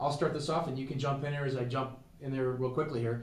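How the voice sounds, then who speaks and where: A man's very fast speech at a medium pitch, with audible room echo and noticeable background noise. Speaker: sports show co-host. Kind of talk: casual sports talk. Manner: animated.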